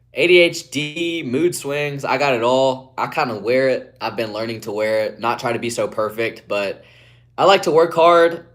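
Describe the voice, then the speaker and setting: In a very clean recording with a silent background, a man with an Appalachian accent talks at a moderate pace and medium pitch, his intonation lively. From West Virginia, Appalachia. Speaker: streamer. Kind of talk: live stream chat.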